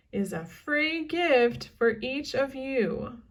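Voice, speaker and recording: Very slow, high-pitched speech from a woman in a put-on character voice. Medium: read story. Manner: upbeat, salesy.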